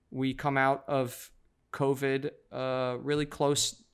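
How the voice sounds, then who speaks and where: Speaking with an American accent, a man uses a normal speaking voice at medium pitch with fairly even intonation. The recording is very clean and the background silent. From New York. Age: 30s. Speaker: church planter and pastor. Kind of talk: interview conversation.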